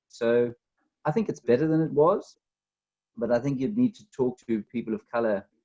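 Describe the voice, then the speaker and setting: A man with a South African accent, medium pitch and ordinary pitch variation, a dark, mellow tone, a moderate pace, and a dry, close sound with no echo. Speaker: author. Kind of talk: interview. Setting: video call.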